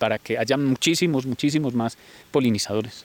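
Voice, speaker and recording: A man with a Colombian paisa accent. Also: dry, close sound with no echo. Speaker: farm manager. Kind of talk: casual interview.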